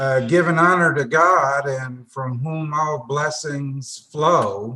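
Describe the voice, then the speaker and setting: Slowing to a very slow pace, a man with a Tennessee accent talks at a fairly high pitch in a bright, sharp tone with fairly even intonation. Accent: Southern US (Tennessee). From US South, northwest Tennessee. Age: 70s. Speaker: retired engineer, foundation board member. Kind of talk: interview.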